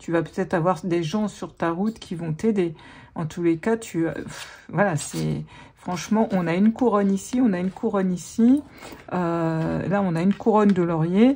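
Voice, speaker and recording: A woman's dark, mellow voice at medium pitch, moderate pace, and ordinary pitch variation. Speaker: tarot reader and life coach. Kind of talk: tarot reading. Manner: animated.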